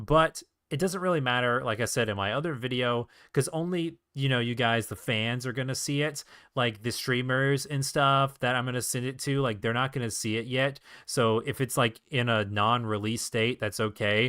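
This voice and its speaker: Ordinary pitch variation and a moderate pace come from an unremarkable speaking voice. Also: man, medium pitch for a man. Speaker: indie game developer streamer. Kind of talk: live stream casual talk. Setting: live stream at home setup. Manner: casual, filler-heavy.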